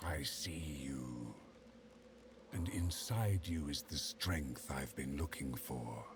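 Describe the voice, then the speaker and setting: Against clear background noise, a man growls in a put-on character voice at a very slow pace. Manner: whispering.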